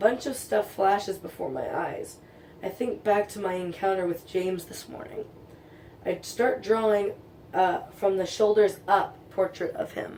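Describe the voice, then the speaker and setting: In a raspy, put-on character voice at a moderate pace, the speaker shows ordinary pitch variation and big swings in loudness over clear background noise. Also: woman, medium pitch for a woman. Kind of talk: casual fan fiction reading. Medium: read story. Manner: casual, stumbling over words.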